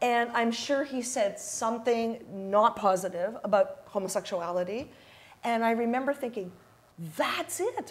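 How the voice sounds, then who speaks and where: Fairly high in pitch with ordinary pitch variation, a woman's plain, everyday voice at a fairly slow pace. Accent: Canadian. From Canada, Ottawa. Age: 60s. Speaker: DJ and community activist. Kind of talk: talk show interview. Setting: stage with live audience.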